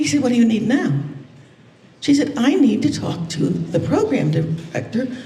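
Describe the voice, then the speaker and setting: A woman's high voice makes very wide pitch swings. The recording carries audible room echo and noticeable background noise. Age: 80s+. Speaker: motivational speaker. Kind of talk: conference keynote talk. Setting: stage with audience. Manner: animated.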